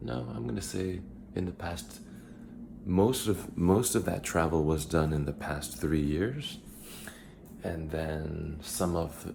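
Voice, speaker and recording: Quiet and very slow, a man with an American accent speaks in a very deep, low pitch with vocal fry and audible room echo. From United States. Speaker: vlogger. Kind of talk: casual vlog monologue. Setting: at home in apartment. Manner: halting, many fillers.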